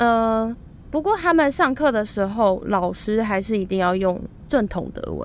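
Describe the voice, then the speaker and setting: A woman's fairly high, unremarkable speaking voice, with lively intonation at a moderate pace. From Taiwan. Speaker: student and former au pair. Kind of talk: casual interview chat.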